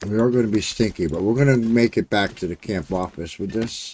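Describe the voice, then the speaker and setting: Fairly low male voice on a very clean recording with a silent background. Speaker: gaming streamer. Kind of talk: gameplay commentary. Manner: casual, hesitant; quiet.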